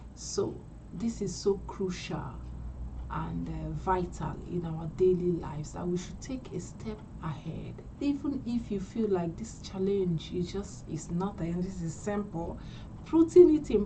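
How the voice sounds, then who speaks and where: There is noticeable background noise and audible room echo as a woman speaks at a fairly slow pace. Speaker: English speaking coach. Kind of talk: live stream teaching. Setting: livestream. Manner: slow, deliberate.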